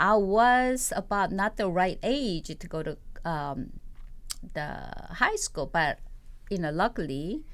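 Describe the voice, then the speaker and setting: With a Korean accent, a woman speaks very slowly at medium pitch, leaving long, frequent pauses. Her pitch swings very widely. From South Korea. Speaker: poet and playwright. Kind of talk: interview. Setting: studio. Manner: halting, many fillers.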